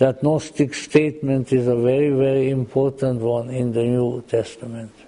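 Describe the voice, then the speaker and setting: With noticeable background noise behind him, a man talks at a fairly slow pace in a medium pitch. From Austria-Hungary region, Central Europe. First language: German and Hungarian. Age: old. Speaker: lecturer on Gnosticism and mythology. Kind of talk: lecture. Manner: halting, frequent repetitions and fillers.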